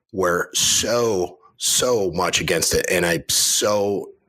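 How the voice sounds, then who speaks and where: A man speaks with a Western New York accent. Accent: upstate Western New York. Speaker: cybersecurity industry guest. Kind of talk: casual interview chat. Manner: hesitant, many fillers.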